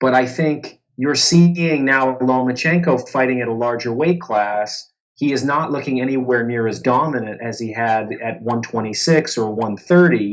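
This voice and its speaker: An unremarkable speaking voice from a man, medium in pitch with ordinary pitch variation, at a moderate pace with hardly any pauses. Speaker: boxing writer and journalist. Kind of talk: interview answer.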